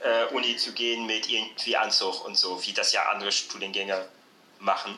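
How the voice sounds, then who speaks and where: The speech of this man moves fairly slowly. Background noise is clearly noticeable. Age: 20s. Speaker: social work student. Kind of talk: casual chat. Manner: hesitant, many fillers.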